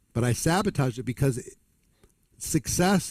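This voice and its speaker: Somewhat breathy and fairly slow, this voice has lively intonation in a dry, close sound with no echo. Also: man. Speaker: network marketing trainer. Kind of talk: motivational seminar talk.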